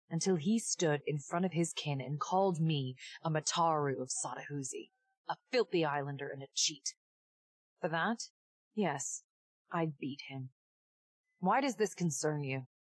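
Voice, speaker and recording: In a put-on character voice, a woman speaks quietly and hoarsely at a very deep, low pitch, with lively intonation at a moderate pace and a dry, close sound with no echo. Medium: video game. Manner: clipped, harsh.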